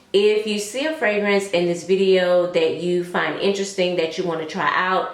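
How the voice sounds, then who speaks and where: Amid audible room echo and noticeable background noise, a woman with an American accent speaks at a moderate pace and medium pitch. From US South. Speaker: fragrance reviewer. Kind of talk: casual vlog review. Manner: animated.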